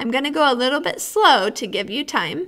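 Her pitch is high and her tone bright and sharp. The woman is heard against a quiet background. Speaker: music teacher. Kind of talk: tutorial. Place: classroom. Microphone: webcam.

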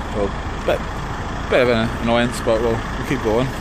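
Loud background noise surrounds the speaker. A man talks at a moderate pace in a dry sound with no echo. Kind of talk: casual vlog chat. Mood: mildly annoyed but upbeat. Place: street. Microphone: phone near.

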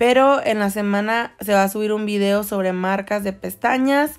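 On a very clean recording with a silent background, a woman with a plain, everyday voice talks at a fairly high pitch with fairly even intonation. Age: 20s. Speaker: nail artist and beauty YouTuber. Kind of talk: tutorial.

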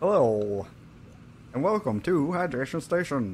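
Using a put-on character voice, a man speaks at a fairly high pitch over clear background noise. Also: moderate pace. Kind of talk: announcer-style, formal.

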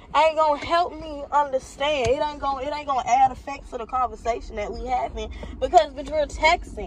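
High-pitched and recorded dry with no echo, a woman speaks over light background noise. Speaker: vlogger. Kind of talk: casual vlog chat. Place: car. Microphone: phone near.

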